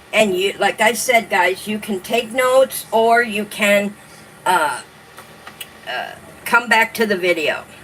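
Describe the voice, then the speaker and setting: Amid noticeable background noise, a woman with a fairly high pitch and ordinary pitch variation speaks at a very slow pace with long, frequent pauses. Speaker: online journaling host. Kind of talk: live stream talk reading from notes. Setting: live stream with light background music. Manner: sounds like reading aloud.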